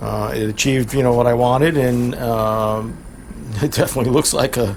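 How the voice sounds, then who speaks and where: Noticeable background noise sits behind a man who talks at a moderate pace and medium pitch in a monotone, flat intonation. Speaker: car mechanic youtuber. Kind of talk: diy tutorial vlog. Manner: halting, many fillers.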